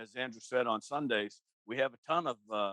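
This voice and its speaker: This man speaks with an American accent. His pitch varies in an ordinary way. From Boston area, New England. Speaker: podcast co-host. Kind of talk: casual chat.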